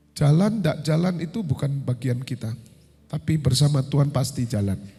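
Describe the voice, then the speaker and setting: A man's fairly high, somewhat breathy voice has a dark, mellow tone and lively intonation. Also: moderate pace. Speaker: pastor. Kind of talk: sermon.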